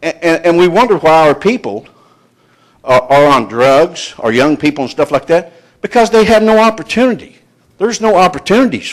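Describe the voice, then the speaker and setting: A man's high-pitched voice with very wide pitch swings at a fairly quick pace. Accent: Appalachian. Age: 60s. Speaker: retired coal miner speaking at public meeting. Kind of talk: public comment testimony. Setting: public hearing with audience. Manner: halting, many fillers.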